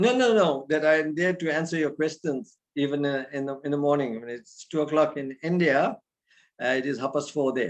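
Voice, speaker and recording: With ordinary pitch variation and a fairly high pitch, a man talks at a fairly quick pace in an ordinary speaking voice. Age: 60s. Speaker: spiritual teacher. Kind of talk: religious talk. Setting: video call.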